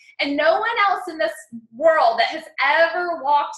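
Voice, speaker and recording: Her voice raised and projected, a woman speaks at a moderate pace with lively intonation. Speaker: success coach and personal branding mentor. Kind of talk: live webinar training. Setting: online webinar. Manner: animated.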